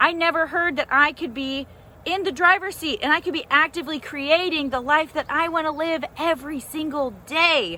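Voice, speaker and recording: Using a raised, projected voice, a woman speaks at a moderate pace in an animated tone. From US South, Nashville. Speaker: life coach. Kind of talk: motivational vlog talk. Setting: outdoors in a garden. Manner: loud.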